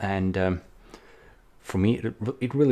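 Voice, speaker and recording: With a non-native accent, a man speaks at a moderate pace. His pitch is very deep and low. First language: not English. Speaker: indie game developer vlogger. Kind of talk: casual vlog. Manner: hesitant, many fillers.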